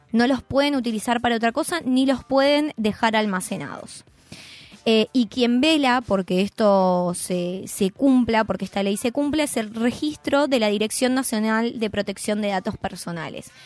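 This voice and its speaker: Moderate pace and ordinary pitch variation from an unremarkable speaking voice. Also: woman, fairly high pitch for a woman. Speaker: columnist on press freedom. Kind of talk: radio column talk.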